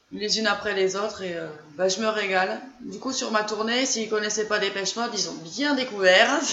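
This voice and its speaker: With a southern French accent, a woman speaks at a fairly high pitch and moderate pace with ordinary pitch variation, amid noticeable background noise and audible room echo. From southern France, Gers. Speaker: fan group founder. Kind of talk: casual chat.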